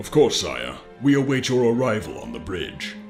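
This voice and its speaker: A man's put-on character voice at a medium pitch, moderate pace, with clear music in the background. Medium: machinima. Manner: deferential, formal.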